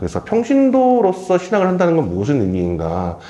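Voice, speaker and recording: The man's pitch swings very widely while noticeable background noise runs underneath. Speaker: moderator of a lecture Q&A. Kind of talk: moderated Q&A at a live talk. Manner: fast.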